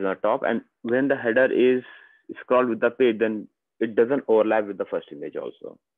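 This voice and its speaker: At a fairly quick pace, a man speaks with an Indian accent. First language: Hindi. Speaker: software trainer. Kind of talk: software demo tutorial.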